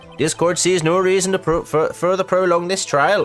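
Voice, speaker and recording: A man speaks in a shaky, high put-on character voice at a moderate pace. Clear background noise can be heard. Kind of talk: formal courtroom. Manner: imitation, self-admittedly shaky.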